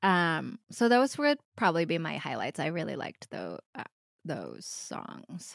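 A woman with an American accent speaks at a fairly slow pace, her loudness swinging widely, in a very clean, dry, close recording with no echo and a silent background. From US Midwest, Metro Detroit suburbs. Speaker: writer and improviser. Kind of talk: casual chat.

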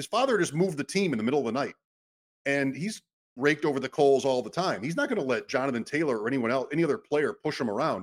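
Very fast, lively speech from a man with fairly high pitch, in a dry, close sound with no echo. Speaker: podcast host. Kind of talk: casual chat.

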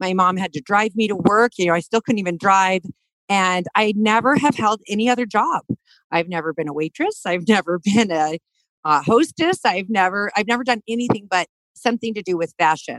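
A woman with an American accent and an unremarkable speaking voice, medium in pitch with ordinary pitch variation, at a fairly quick pace, in a dry, close sound with no echo. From US, Denver, Colorado. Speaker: fashion designer. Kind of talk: interview. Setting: studio.

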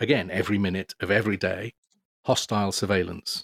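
A man's fairly low voice with a British accent at a moderate pace, fairly even in intonation, dry and close with no echo, on a very clean recording against a silent background. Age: 50s. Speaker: author and journalist. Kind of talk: interview. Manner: hesitant, many filler words.

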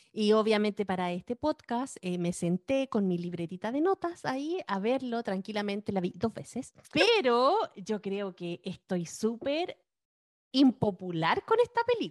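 Speaking in a Chilean accent, a woman uses a fairly high pitch and lively intonation, in a dry, close sound with no echo. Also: fairly slow pace. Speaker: film and TV podcast co-host. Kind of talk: casual chat.

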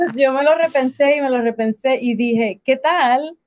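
In a dry, close recording with no echo, a woman talks fairly slowly at a high pitch with ordinary pitch variation. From Puerto Rico. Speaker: life and business coach. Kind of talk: interview.

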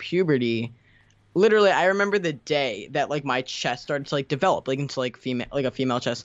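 A man's voice, fairly high in pitch, with ordinary pitch variation. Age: under 20 (18). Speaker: YouTuber. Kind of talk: casual interview.

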